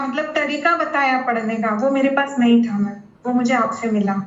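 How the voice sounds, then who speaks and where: A woman's ordinary pitch variation is heard with audible room echo around her. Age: 30s. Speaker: former student turned assistant professor. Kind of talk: testimonial. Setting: video call. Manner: halting.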